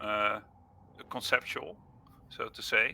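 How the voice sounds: A man's bright, sharp tone at a slow pace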